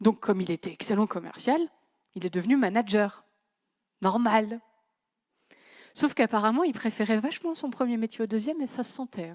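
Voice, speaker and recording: Over a silent background on a very clean recording, a woman talks at a moderate pace with lively intonation. She leaves long, frequent pauses, and her loudness swings a lot. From northern France, Creil (Oise). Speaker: conference speaker on management. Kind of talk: conference talk. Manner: casual, conversational.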